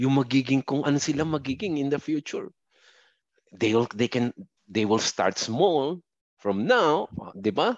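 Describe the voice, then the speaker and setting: A man speaks at a fairly slow pace with lively intonation. The sound is dry and close with no echo, against a quiet background. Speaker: software support supervisor, overseas worker. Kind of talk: remote interview testimony.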